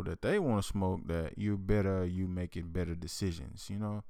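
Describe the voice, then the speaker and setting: A man with an ordinary speaking voice talks at a moderate pace and a fairly low pitch. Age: 20s. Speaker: podcast co-host, married couple. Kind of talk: casual chat.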